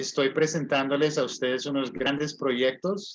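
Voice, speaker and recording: A man speaks with a Spanish accent and a fairly high pitch. His pace is fairly quick. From US, California. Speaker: English teacher and livestream host. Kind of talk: promotional talk to viewers.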